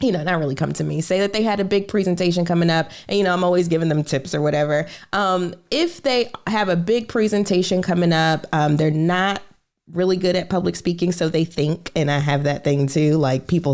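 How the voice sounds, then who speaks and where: A woman with an American accent speaks in a plain, everyday voice, fairly low in pitch, at a fairly quick pace with ordinary pitch variation and very even loudness. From United States. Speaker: podcast host and financial coach. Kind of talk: podcast interview. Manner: casual, many fillers.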